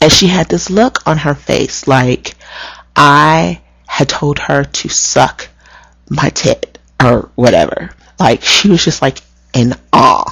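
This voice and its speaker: A woman at a very slow pace with long, frequent pauses. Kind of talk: casual vlog storytelling. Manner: not very soft-spoken, animated.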